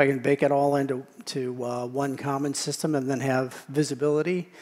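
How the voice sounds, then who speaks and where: A man speaks at a moderate pace with a fairly high pitch and flat, monotone intonation. Background noise is noticeable throughout. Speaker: tech industry speaker. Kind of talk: conference talk with Q&A.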